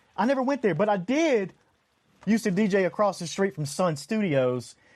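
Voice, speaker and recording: With a Tennessee accent, a man speaks at a moderate pace in a high voice whose pitch swings very widely. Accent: Southern US (Tennessee). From US South, Tennessee (Memphis). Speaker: podcast host, former DJ. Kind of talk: casual film discussion.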